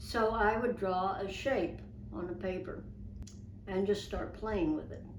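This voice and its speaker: With noticeable background noise, a woman talks fairly slowly with ordinary pitch variation. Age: 80s+. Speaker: illustrator. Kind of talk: interview answer.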